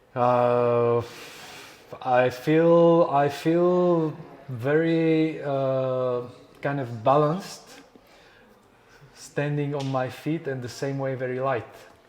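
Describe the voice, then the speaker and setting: At a very slow pace, the speech runs with fairly even intonation and long, frequent pauses, with audible room echo. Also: man, fairly high pitch for a man. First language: not English. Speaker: podcast host. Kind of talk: interview conversation. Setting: resort lobby and walking outdoors. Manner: halting with fillers.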